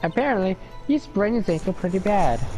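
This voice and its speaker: Clear music plays behind a man doing a strained, high-pitched put-on character voice. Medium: game stream. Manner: cranky, indignant.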